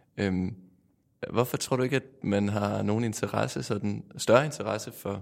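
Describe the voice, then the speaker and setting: A man speaks at a fairly low pitch with some vocal fry. His pace is fairly slow and his pitch varies in an ordinary way. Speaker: radio host. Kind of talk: interview.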